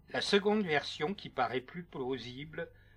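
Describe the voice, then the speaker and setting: Music plays behind a man speaking at a very slow pace in a solemn, dramatic tone. His pitch variation is ordinary. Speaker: true crime narrator and author. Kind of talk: scripted narration. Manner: solemn, dramatic, measured storytelling tone.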